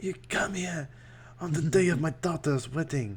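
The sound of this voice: This is a put-on character voice with a raspy quality. It sits at a middle pitch and moves at a moderate pace.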